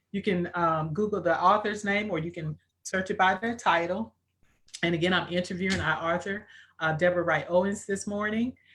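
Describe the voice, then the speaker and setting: In an American accent, a woman speaks at a fairly quick pace and a medium pitch. Hers is an unremarkable speaking voice with fairly even intonation. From rural US. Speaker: interviewer and book co-author. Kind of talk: live interview.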